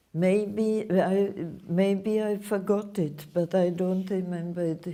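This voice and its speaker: Against audible room echo, a woman speaks at a very slow pace and medium pitch with fairly even intonation. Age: 80s+. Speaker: Holocaust survivor speaking to students. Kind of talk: Q&A with school students.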